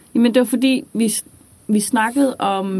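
Moderate in pace, a woman talks with ordinary pitch variation in a plain, everyday voice. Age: 20s. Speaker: student teacher. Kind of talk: casual chat.

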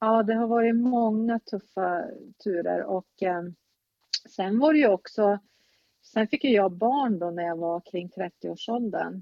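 Her pitch is fairly high, with ordinary variation. The woman talks at a very slow pace. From northern Sweden, Norrbotten. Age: 50s. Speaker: relative of a mentally ill parent. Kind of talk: interview.

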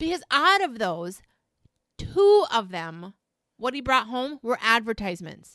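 A woman speaks loudly at a fairly high pitch, her tone bright and sharp, with very wide pitch swings. The pace is fairly slow, and the recording is very clean with a silent background. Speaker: podcast co-host. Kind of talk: casual chat. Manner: loud, excitable.

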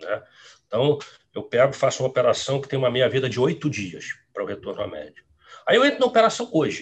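A man talks at a very fast pace but breaks it up with long, frequent pauses. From Rio Grande do Sul, raised in Rio de Janeiro from age 10. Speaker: quantitative trader. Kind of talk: interview. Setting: live stream.

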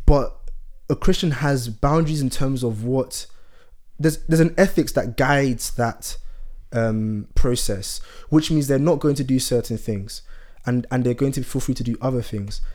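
This man has an ordinary speaking voice. He talks at a moderate pace with ordinary pitch variation. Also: fairly high pitch for a man. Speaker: podcast co-host. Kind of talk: casual chat.

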